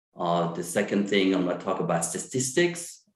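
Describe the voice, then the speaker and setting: A man with a French accent speaks at a moderate pace, his pitch fairly low with ordinary variation. The recording has audible room echo. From France. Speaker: psychiatrist. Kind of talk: lecture. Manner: halting, many fillers.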